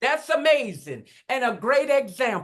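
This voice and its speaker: At a moderate pace, a woman speaks with a Southern US accent. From Mississippi. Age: 60s. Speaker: motivational speaker. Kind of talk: casual chat.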